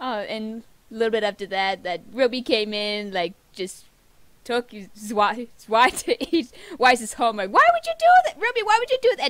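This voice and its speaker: Her pitch swings very widely. The woman is recorded against a quiet background. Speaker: reaction video creator. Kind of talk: casual reaction vlog chat. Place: home room. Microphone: webcam.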